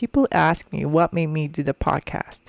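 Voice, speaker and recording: The speaker has a non-native accent and talks at a fairly slow pace. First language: not English. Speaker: podcast host. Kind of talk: personal reflective monologue. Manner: hesitant, with filler ums.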